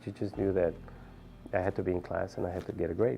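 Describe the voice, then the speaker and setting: Over music in the background, a man with an American accent talks at a fairly quick pace in a fairly low pitch. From South Texas, Brownsville. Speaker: physician. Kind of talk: interview testimony.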